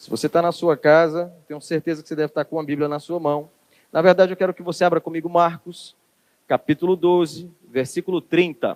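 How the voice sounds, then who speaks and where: Monotone and flat, the speaker talks fairly quickly in a Ceará accent, with big swings in loudness and a dry, close sound with no echo. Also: man, high pitch for a man. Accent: Ceará accent, 'estado' with an x sound. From Brazil, Ceará. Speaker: preacher. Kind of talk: sermon. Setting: church service streamed on camera.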